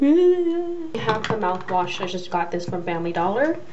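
A woman is speaking at a moderate pace. There is light background noise. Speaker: vlogger. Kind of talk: casual vlog chat. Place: bathroom. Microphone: phone near.

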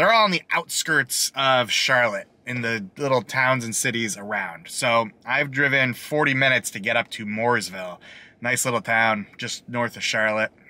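A man speaks in a bright, sharp tone at a moderate pace with hardly any pauses. His pitch varies in an ordinary way, and the sound is dry with no echo. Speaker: food reviewer. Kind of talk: casual vlog chat. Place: car. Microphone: phone near.

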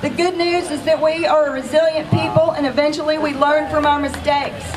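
Speech moves at a moderate pace. Noticeable background noise can be heard. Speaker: rally speaker. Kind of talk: rally speech. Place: open country.

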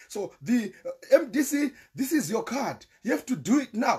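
A man with a Zimbabwean accent speaks in an extremely high pitch at a fairly slow pace. His intonation is lively and his tone animated. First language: Shona. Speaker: political commentator. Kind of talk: live-stream political monologue. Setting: live stream. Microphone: volume problems early on.

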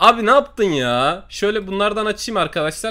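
A man speaks in a raised, projected voice with a bright, sharp tone. His pace is moderate and his intonation lively. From Turkey. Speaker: gaming YouTuber. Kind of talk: angry rant. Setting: screen-recorded voiceover. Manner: animated; loud, swearing. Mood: frustrated after losing money. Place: home room. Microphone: headset.

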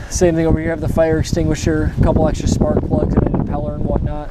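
Loud background noise runs throughout. Through it, a man talks. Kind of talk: casual vlog tour. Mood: relaxed, upbeat. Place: boat. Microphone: phone near.

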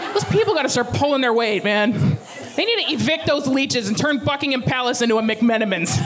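Lively intonation and hardly any pauses mark this speaker with an American accent, heard over light background noise. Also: woman, high pitch for a woman, fairly quick pace. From Alaska, USA. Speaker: stand-up comedian. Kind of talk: stand-up comedy set. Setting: live theater audience. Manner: animated. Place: stage. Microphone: handheld.

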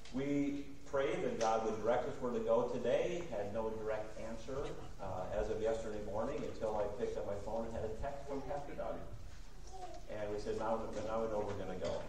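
The speech runs at a moderate pace, with audible room echo and light background noise. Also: man. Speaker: guest preacher. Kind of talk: sermon. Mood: warm, friendly. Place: church.

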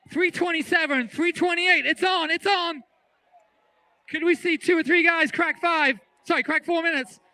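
At a fairly slow pace, a man projects a raised voice at an extremely high pitch. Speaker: track meet announcer. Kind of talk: live race commentary. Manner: animated, excitable.

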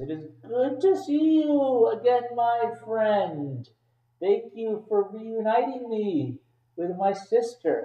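A man puts on a character voice at a high pitch. He speaks at a very slow pace.

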